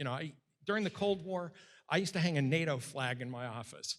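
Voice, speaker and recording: Speaking very fast in an American accent, a man uses a fairly high pitch and lively intonation. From Western Massachusetts. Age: 60s. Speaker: political scientist and author. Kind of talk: Q&A after a public lecture.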